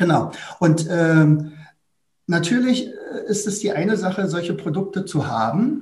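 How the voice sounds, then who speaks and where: The voice moves at a fairly slow pace with lively intonation and long, frequent pauses. Audible room echo surrounds it. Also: man, high pitch for a man. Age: 60s. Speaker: teacher and academy founder. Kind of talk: interview.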